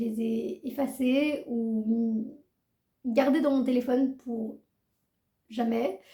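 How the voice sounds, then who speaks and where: A woman speaks at a very slow pace in a high pitch. Her tone is dark and mellow. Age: 20s. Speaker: book youtuber. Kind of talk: casual vlog talk.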